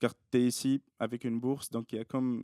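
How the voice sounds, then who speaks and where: A man with a medium pitch and a dark, mellow tone speaks at a moderate pace in a monotone, flat intonation, the sound dry and close with no echo. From Tunisia. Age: 20s. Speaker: doctoral student. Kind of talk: casual interview. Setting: podcast studio, filmed.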